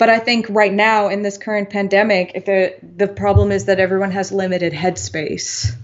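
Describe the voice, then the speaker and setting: A woman with an American accent speaks in a plain, everyday voice at medium pitch and a moderate pace, with fairly even intonation and hardly any pauses. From mixed: US childhood, then Indonesia, France, Belgium (Dutch). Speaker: artist. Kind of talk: casual chat.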